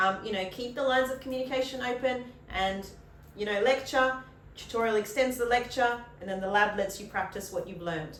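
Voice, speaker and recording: An upbeat woman at a fairly quick pace with ordinary pitch variation, with audible room echo and noticeable background noise. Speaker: university lecturer. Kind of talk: casual course introduction Q&A. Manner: chatty, upbeat.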